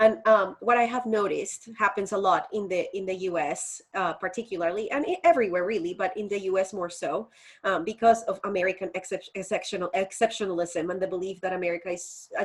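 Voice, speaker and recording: In a Colombian accent, the speaker rushes along at a very fast pace with hardly any pauses. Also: woman, medium pitch for a woman, fairly even intonation. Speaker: faith educator and activist. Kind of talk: interview conversation.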